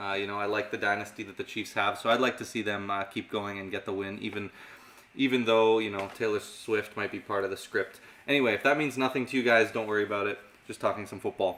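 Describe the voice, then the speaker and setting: This man's voice sits at a medium pitch. The intonation is fairly even. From Canada. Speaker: magic and mentalism teacher. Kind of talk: live stream Q&A.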